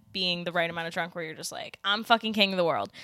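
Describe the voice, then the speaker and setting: A woman's medium-pitched voice with an American accent, bright and sharp in tone, with lively intonation, on a very clean recording with a silent background. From Philadelphia. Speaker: podcast co-host. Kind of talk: casual chat, movie watchalong. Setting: at home.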